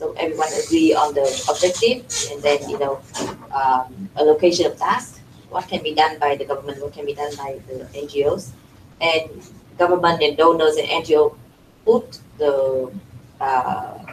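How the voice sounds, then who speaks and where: A woman with a very deep, low pitch talks at a moderate pace with ordinary pitch variation as noticeable background noise continues. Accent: Vietnamese. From Vietnam. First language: Vietnamese. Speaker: NGO representative, panelist. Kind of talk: panel discussion. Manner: halting, many fillers and repetitions.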